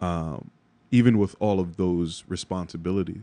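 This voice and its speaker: Against a quiet background, a man speaks. His voice is very deep and low, with a dark, mellow tone. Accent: New York. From New York (Bronx). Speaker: creative director and podcaster, former finance worker. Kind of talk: interview.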